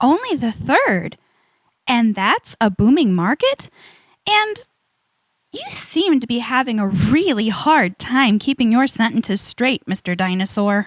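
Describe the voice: Slowly, a woman performs a put-on character voice at a fairly high pitch with big pitch swings. The sound is dry and close, with no echo.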